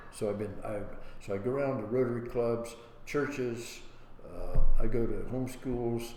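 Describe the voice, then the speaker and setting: A man with an American accent speaks at a medium pitch and moderate pace, in a monotone, flat intonation with long, frequent pauses. Audible room echo surrounds his voice. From Ohio, Licking County. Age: 90s. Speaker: war veteran. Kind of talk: oral history interview. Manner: halting.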